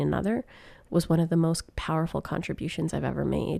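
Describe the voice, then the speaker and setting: A woman with a Canadian accent is heard in a very clean recording with a silent background. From Canada, Grand Prairie, Alberta. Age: 30s. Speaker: podcast host. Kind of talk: solo podcast monologue. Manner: animated.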